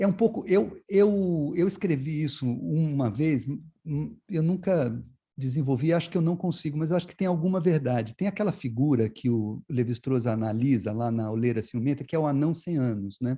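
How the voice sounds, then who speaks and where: Against a quiet background, a man with a fairly high voice and a dark, mellow tone speaks at a moderate pace with lively intonation. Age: 60s. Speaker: visual artist. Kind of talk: interview. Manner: halting, many repetitions and fillers.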